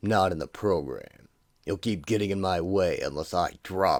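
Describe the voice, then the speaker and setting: Putting on a character voice, a man talks at a moderate pace with a very deep, raspy pitch, ordinary pitch variation and big swings in loudness, in a very clean recording with a silent background. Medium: audio drama. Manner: rigid, self-righteous.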